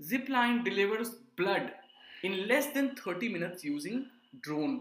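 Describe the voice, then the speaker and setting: A man talks in a raised, projected voice with lively intonation. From India, Jharkhand. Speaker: startup mentor. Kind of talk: interview.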